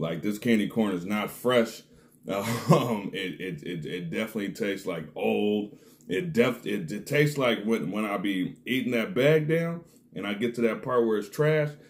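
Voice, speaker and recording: A man's fairly low-pitched voice with lively intonation. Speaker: snack reviewer. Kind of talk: casual vlog chat. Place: home room. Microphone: phone near.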